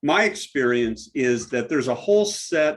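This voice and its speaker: With an American accent and lively intonation, a man speaks at a medium pitch in a plain, everyday voice. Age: 60s. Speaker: diversity trainer. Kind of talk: presentation.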